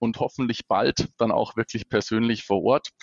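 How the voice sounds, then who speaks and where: At a fairly slow pace, a man talks in a medium pitch with a plain, everyday voice. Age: 30s. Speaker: regional sales manager. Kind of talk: casual interview.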